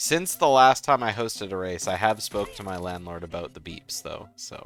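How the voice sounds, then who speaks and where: Music plays in the background. A man with a fairly low pitch speaks at a moderate pace with lively intonation. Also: big swings in loudness. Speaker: esports commentator. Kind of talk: live commentary. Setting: livestream.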